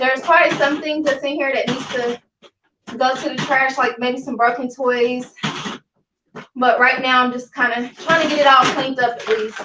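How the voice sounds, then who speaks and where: A woman's raised, projected voice, high in pitch, in a monotone, flat delivery at a moderate pace. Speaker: cleaning vlogger. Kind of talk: live cleaning vlog narration. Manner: loud.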